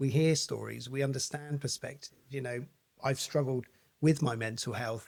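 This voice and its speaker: Monotone, flat delivery at a fairly quick pace, with a southern English accent. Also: man. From Basingstoke, England. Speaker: mental health podcaster and wellbeing coach. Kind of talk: interview answer.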